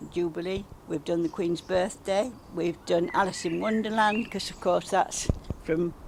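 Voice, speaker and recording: A woman speaks with a Derbyshire accent at a fairly low pitch, her intonation fairly even. Noticeable background noise runs under the recording. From England, Derbyshire (Belper). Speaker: village well dressing organiser. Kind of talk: casual interview.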